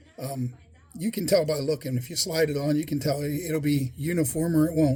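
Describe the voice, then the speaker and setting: Intonation here holds fairly even. There is a somewhat breathy quality to the voice. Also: man, fairly high pitch for a man. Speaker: fly tying hobbyist YouTuber. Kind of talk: tutorial. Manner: halting, self-correcting; casual, conversational.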